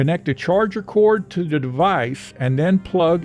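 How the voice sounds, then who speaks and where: With music in the background, a man speaks using lively intonation. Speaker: home music hobbyist. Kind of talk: tutorial narration. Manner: dry, joking.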